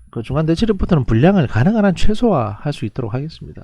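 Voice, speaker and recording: Against a quiet background, a man talks at a fairly quick pace in a dark, mellow, somewhat breathy tone with very wide pitch swings. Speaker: professor. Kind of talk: lecture. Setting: recorded online lecture. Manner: fast; halting.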